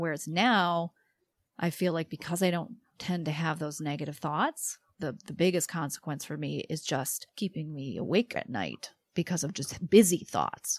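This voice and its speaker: In a very clean recording with a silent background, a woman talks in a plain, everyday voice with fairly low pitch and ordinary pitch variation. The sound is dry and close, with no echo. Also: moderate pace. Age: 40s. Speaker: podcast host and psychologist. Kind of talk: interview.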